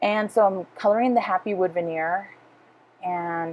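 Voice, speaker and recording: This woman speaks at a medium pitch in a Spanish accent. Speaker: scrapbooking craft video creator. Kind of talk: voiceover narration of craft process video. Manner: casual with frequent fillers.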